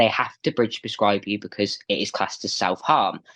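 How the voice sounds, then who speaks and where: A man speaks at a fairly quick pace. The sound is dry and close with no echo, over a quiet background. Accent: Midlands. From England. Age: 20s. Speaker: interview guest. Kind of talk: podcast interview.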